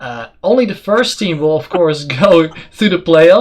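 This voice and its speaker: In a non-native accent, a man speaks at a high pitch with lively intonation. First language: not English. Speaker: esports caster and talk show host. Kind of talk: casual chat.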